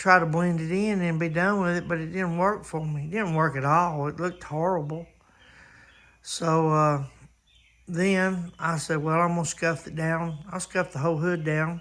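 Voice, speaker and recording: Speaking in a high pitch, this man keeps a monotone, flat intonation. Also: moderate pace. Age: 60s. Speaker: car restoration hobbyist. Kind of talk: casual video chat. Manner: hesitant, many fillers.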